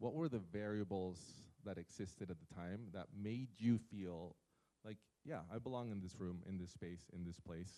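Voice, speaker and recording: With long, frequent pauses, a man speaks in a very deep, low pitch and a dark, mellow tone. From Peru. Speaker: community foundation executive. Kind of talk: conference presentation.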